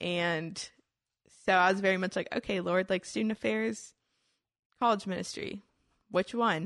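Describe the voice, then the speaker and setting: With long, frequent pauses, a woman with a Texan accent speaks at a medium pitch against a quiet background. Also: lively intonation, moderate pace, dry, close sound with no echo. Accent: Texan American. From Houston, Texas. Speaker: college student. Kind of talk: casual chat.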